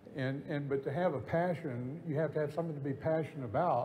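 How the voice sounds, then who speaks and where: With audible room echo, a man with a fairly high, somewhat breathy voice speaks at a fairly quick pace with ordinary pitch variation. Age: 70s. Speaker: real estate broker. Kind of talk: on-stage interview. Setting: conference stage with audience. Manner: halting.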